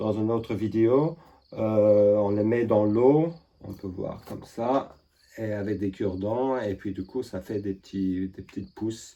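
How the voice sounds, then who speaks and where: A man with a non-native accent speaks at a fairly slow pace in a dark, mellow tone. His intonation is fairly even. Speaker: permaculture gardener and artist. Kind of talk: casual talk to camera.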